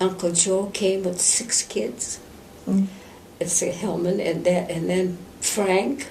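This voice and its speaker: A woman's medium-pitched voice in an Upper Midwest accent, with noticeable background noise. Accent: Upper Midwest American. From central Minnesota. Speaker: Benedictine nun. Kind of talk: oral history interview answer.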